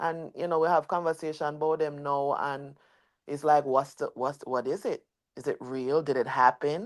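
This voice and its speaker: A woman has a very deep, low pitch and fairly even intonation. The recording is very clean, with a silent background. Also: moderate pace. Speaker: livestream host, dancehall commentator. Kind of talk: livestream panel discussion. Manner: loud, passionate.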